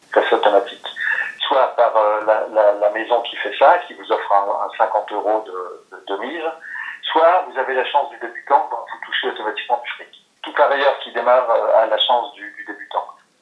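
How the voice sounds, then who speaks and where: With big swings in loudness, a man talks at a moderate pace. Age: 50s. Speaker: recovering gambler. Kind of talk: interview testimony. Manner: halting, frequent repetitions.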